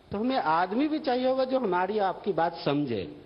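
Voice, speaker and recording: A man is speaking. His pitch swings very widely. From India, Bihar. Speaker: entrepreneur. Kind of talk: TV talk show interview.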